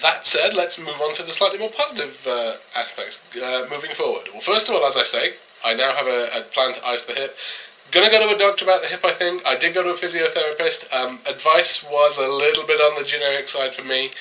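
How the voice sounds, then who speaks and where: A man talks at a fairly quick pace, and noticeable background noise can be heard behind him. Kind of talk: casual talk to camera. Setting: recording at night at home.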